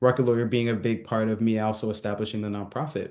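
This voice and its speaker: At a fairly quick pace, a man with an American accent and a medium pitch speaks with fairly even intonation against a quiet background. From Southern California. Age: 30s. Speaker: entrepreneur. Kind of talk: interview. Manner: casual, hesitant with many fillers.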